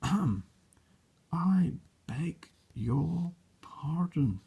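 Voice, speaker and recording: This man uses a put-on character voice, growling at a high pitch. His intonation is lively. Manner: polite but gruff, clearing throat.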